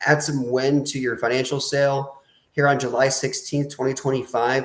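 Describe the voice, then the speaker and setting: A man with an Iowa accent and a fairly high pitch. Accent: Iowa, slightly nasal. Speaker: financial advisor, podcast host. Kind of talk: live Q&A webinar podcast.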